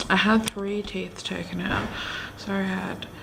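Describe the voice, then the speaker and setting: A woman with an Australian accent speaks at a fairly slow pace over noticeable background noise. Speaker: family vlogger. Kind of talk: casual vlog. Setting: at home.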